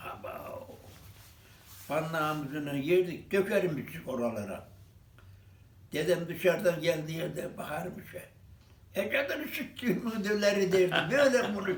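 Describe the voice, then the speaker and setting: High-pitched and lively in intonation, a man talks at a fairly slow pace. He leaves long, frequent pauses. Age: 80s+. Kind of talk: interview answer.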